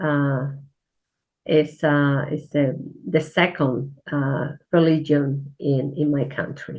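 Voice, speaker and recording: A woman with a Spanish accent speaks at a very slow pace. Her very deep, low pitch has monotone, flat intonation. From Spain. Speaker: church minister. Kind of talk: interview. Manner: halting.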